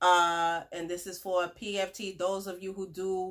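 A woman speaks at a fairly slow pace in a fairly low pitch, her fairly bright tone showing little pitch movement.

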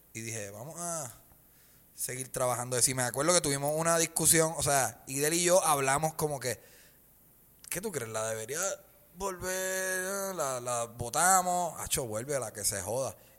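A man with a Puerto Rican accent speaks at a moderate pace in a fairly high pitch, his intonation lively and his loudness swinging widely, on a very clean recording with a silent background. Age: 30s. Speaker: stand-up comedian. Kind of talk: casual chat.

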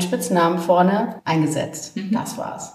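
At a moderate pace and medium pitch, a woman speaks with lively intonation and audible room echo. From Franconia, Germany (Main valley near Würzburg). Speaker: wine project founder. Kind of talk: casual chat. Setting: at a winery during a tasting.

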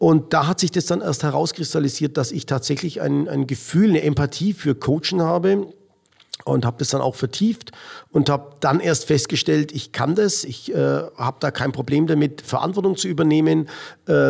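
A man's fairly high-pitched voice with vocal fry, at a moderate pace. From Middle Franconia, Bavaria (Rothenburg ob der Tauber). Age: 50s. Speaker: American football coach. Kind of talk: interview. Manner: halting, many fillers.

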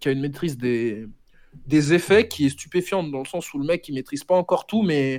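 This man speaks at a fairly quick pace in a fairly high pitch. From France, Senegalese family. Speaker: rapper. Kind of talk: casual interview. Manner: halting.

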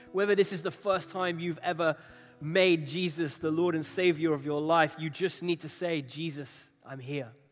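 With music in the background, a man speaks at a high pitch with fairly even intonation. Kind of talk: sermon ending in a guided prayer. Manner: hushed, slow and tender, with halting pauses as he invites the congregation to pray.

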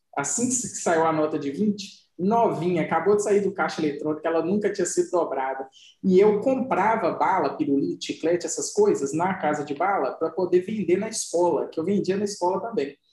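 The man's pitch sits high. He talks at a fairly quick pace. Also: ordinary pitch variation, hardly any pauses. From Minas Gerais interior, Brazil. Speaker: podcast co-host. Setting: home recording with dogs in background.

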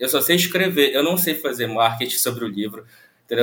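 It is an unremarkable speaking voice. Its intonation is lively. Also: man. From Brazil, Pará (Santarém). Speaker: novelist. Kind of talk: casual interview.

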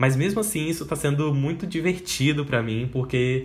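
The man's voice is fairly high in pitch and somewhat breathy. His intonation is lively. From Espírito Santo, Brazil. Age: 20s. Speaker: podcast host and advertising student. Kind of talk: casual solo monologue.

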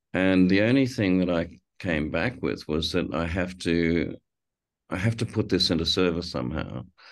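A man with a very deep, low voice and vocal fry, against a quiet background. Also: ordinary pitch variation, moderate pace. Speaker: film director with Parkinson's. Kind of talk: interview conversation. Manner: thoughtful, hesitant with repeated words.

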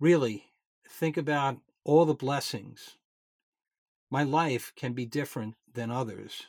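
On a very clean recording with a silent background, a man talks at a fairly slow pace and fairly high pitch, with ordinary pitch variation and long, frequent pauses. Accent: New York. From New York. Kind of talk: podcast host introducing and reading writings.

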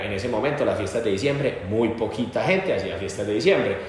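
A fairly quick voice in a Medellín Colombian accent, with audible room echo and noticeable background noise. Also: man. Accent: Colombian paisa (Medellín) Spanish. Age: 20s. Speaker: nightlife entrepreneur. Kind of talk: casual interview.

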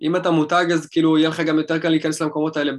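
A man's fairly high-pitched voice with fairly even intonation, in a very clean recording against a silent background. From Israel, Rishon LeZion. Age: 20s. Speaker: DJ and music producer. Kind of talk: casual interview.

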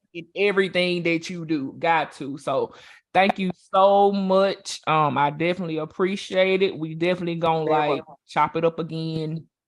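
A Southern US accent at a moderate pace, on a very clean recording with a silent background. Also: man, high pitch for a man. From Louisiana. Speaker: interviewer. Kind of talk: casual interview. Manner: animated.

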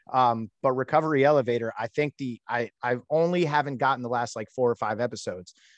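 At a very fast pace, a man with a medium pitch and ordinary pitch variation speaks in a dry, close sound with no echo against a quiet background. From Puerto Rican heritage. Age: 30s. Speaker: podcast host. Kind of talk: interview. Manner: animated.

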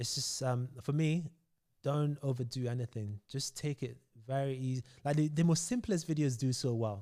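Dark and mellow in tone, a man's fairly high-pitched voice moves at a moderate pace with ordinary pitch variation. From Nigeria. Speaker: fitness coach. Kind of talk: casual interview. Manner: animated.

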